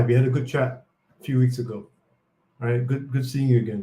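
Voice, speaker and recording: A man speaks in a somewhat breathy voice. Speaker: chief strategy officer of a crypto company. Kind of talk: live Q&A stream. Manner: fast.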